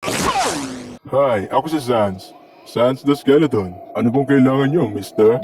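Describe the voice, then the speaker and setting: A man puts on a character voice at a medium pitch, speaking at a very slow pace. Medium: fan dub. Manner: laid-back, deadpan.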